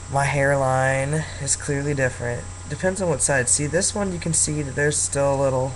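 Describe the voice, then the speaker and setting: Amid noticeable background noise and audible room echo, a man with a fairly high pitch speaks at a moderate pace with lively intonation. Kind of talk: casual vlog monologue. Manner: hesitant, many fillers.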